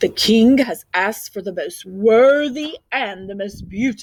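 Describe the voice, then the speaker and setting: A put-on character voice at a fairly slow pace. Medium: read story.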